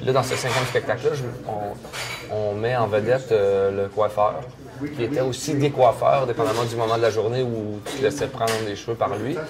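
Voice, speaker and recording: There is noticeable background noise as a man talks at a moderate pace, his medium pitch showing ordinary variation. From Quebec, Canada. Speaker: storyteller. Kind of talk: interview answer. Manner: casual, colloquial.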